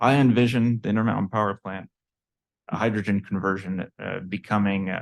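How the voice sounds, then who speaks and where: Here a man talks at a fairly quick pace. His fairly low voice stays monotone and flat. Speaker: research center representative presenting to legislators. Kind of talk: committee presentation. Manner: fast.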